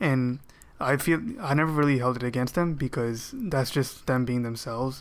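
A man's ordinary speaking voice, medium in pitch, with fairly even intonation, very even loudness and a moderate pace. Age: 20s. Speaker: fiscal analyst, podcast panelist. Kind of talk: casual chat.

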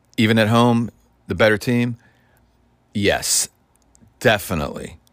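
A very clean recording captures speech over a silent background. The pace is moderate, with an American accent. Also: man. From Ohio, near Cincinnati and Dayton. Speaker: sports podcaster. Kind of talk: solo commentary monologue. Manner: casual, halting with many fillers.

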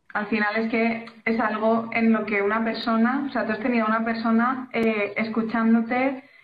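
At a moderate pace, a woman talks in a fairly high, monotone, flat voice with hardly any pauses. Audible room echo is present. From Valencia region, Spain. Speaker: illustrator and graphic designer. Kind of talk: casual chat.

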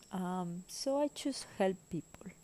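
With a Spanish accent, a woman speaks in a fairly low voice with vocal fry and a dark, mellow tone. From Spain. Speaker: spiritual podcaster. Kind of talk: personal monologue. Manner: hesitant, frequent fillers.

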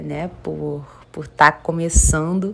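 There is noticeable background noise behind the speaker. A woman talks at a fairly slow pace. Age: 20s. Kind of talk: casual monologue. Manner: animated.

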